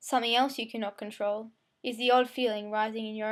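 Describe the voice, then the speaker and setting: Very clean and set against a silent background, this recording has a woman speaking at a fairly high pitch in a monotone, flat intonation. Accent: Australian. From Australia. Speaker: amateur poet. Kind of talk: spoken word poetry. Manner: fast; occasional stumbles.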